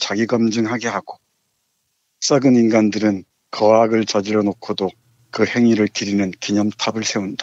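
Moderate-paced speech from a man, medium in pitch with fairly even intonation. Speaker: literature professor. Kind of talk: book review discussion, reading aloud. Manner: subdued, somber.

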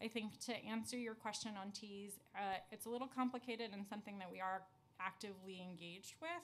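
The delivery is very fast. Pitch varies in an ordinary way. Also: woman. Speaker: city immigrant affairs commissioner. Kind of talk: testimony. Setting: council hearing room. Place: meeting room. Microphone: podium.

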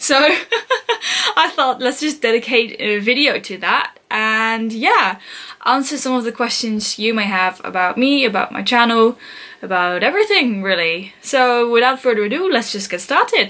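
A woman with a bright, sharp tone and a fairly high pitch speaks at a fairly slow pace, her intonation lively. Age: 20s. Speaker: English teacher student and language learner. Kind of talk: casual talk to camera. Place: home room. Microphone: camera far.

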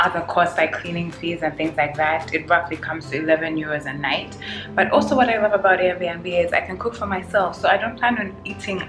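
Clear music plays behind a woman with a fairly low pitch and ordinary pitch variation. She talks at a fairly quick pace with hardly any pauses. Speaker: travel vlogger. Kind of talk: casual vlog chat. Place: home room. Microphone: phone near.

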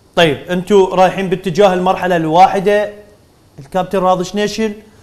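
A man speaks at a high pitch with an Iraqi accent. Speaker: sports TV presenter; TV presenter. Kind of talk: TV sports talk show. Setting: studio. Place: studio. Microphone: lapel.

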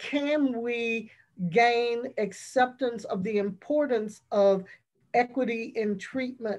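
A woman talks over a quiet background. Her intonation stays fairly even. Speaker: professor. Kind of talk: panel discussion. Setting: online webinar, video call. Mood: earnest, serious. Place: home room. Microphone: video call.

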